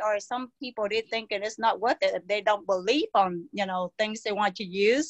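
In a dry, close recording with no echo, a woman speaks at a moderate pace with a fairly bright tone and ordinary pitch variation.

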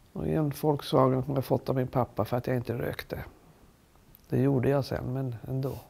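A woman with a very deep, low voice, vocal fry and a dark, mellow tone speaks at a moderate pace with ordinary pitch variation. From Sweden. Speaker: retired champion golfer. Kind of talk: interview. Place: home room.

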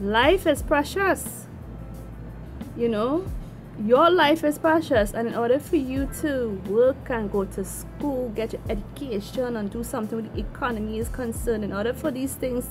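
Clear music plays in the background while a woman talks at a moderate pace. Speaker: vlogger. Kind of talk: casual vlog rant. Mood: concerned, earnest. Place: home room. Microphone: phone near.

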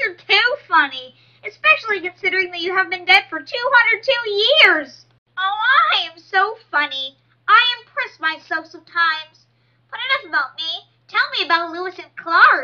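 A woman does a cartoonish character voice at an extremely high pitch with very wide pitch swings. She keeps a moderate pace, and her loudness swings widely. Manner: sugary, self-admiring.

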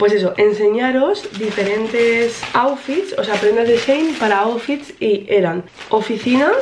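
A woman speaks with ordinary pitch variation. There is light background noise behind her. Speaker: vlogger. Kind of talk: casual vlog chat. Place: home room. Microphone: camera far.

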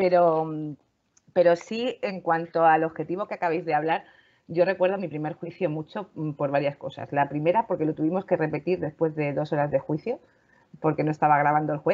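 Fairly low pitch from a woman, with fairly even intonation and a fairly quick pace. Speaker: lawyer, panel regular. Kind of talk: casual panel discussion. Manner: loud.

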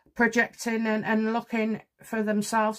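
Here a woman talks at a fairly slow pace. Nothing much is heard behind her, as the background is quiet. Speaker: tarot reader. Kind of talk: casual commentary. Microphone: phone near.

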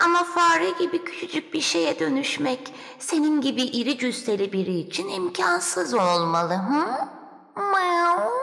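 This is a put-on character voice that sounds female, pitched high for a woman. It moves at a fairly slow pace with very wide pitch swings. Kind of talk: children's fairy tale acting. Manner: coaxing, teasing, purring miaus.

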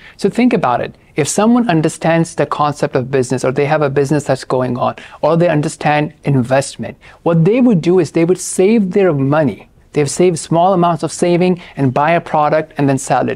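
A man talks fairly quickly, and his pitch varies in an ordinary way. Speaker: presenter. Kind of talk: lecture. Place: studio. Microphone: lapel.

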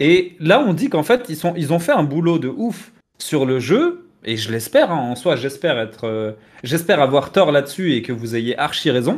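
A man with a plain, everyday voice, fairly high-pitched, with lively intonation at a moderate pace. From Tunisian heritage, France. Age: 30s. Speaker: video game commentator. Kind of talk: casual debate. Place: home room. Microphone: headset.

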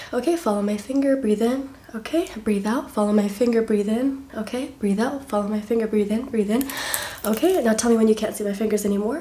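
A soft-spoken woman whispering at a fairly quick pace with an American accent. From US South. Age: 20s. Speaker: ASMR creator. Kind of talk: ASMR roleplay with rapid-fire instructions, repeated phrases. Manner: soft-spoken, whispery, repetitive, fast-paced and chaotic; playful, cajoling, rapid-fire commands. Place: home room. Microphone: phone near.

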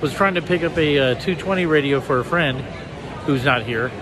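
Noticeable background noise accompanies a man whose recording is dry, with no echo. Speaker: amateur radio hobbyist. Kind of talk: casual vlog chat. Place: hall. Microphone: phone near.

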